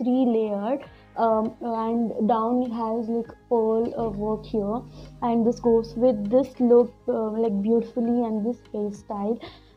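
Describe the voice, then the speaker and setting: Over faint background music, a woman speaks very slowly in a monotone, flat delivery. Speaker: beauty vlogger. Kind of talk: casual tutorial vlog chat. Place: home room. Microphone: lapel.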